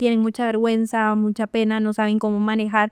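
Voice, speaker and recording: A woman with a fairly high pitch, recorded very cleanly against a silent background. The sound is dry and close, with no echo. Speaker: marketing professional and cultural manager. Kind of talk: interview conversation. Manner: loud.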